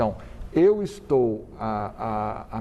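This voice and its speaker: A man speaks with a dark, mellow tone. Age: 60s. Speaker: cardiologist and medical professor. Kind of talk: TV interview. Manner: halting with repetitions.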